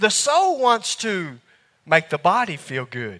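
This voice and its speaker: In a Southern US accent, a man with a high pitch and a bright, sharp tone speaks at a fairly slow pace. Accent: Southern US drawl. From US South. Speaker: preacher. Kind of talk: sermon. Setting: church.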